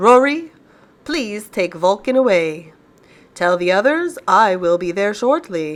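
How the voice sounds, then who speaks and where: A woman puts on a character voice. Her pitch is medium and her pace fairly slow. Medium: read story.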